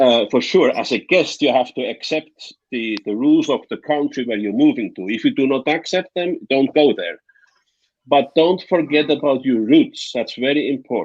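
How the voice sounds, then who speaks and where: With a Swiss German accent, a man speaks at a moderate pace in a fairly high pitch with ordinary pitch variation. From Switzerland, Bernese Oberland. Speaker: guest on live discussion panel. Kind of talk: casual chat. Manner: halting.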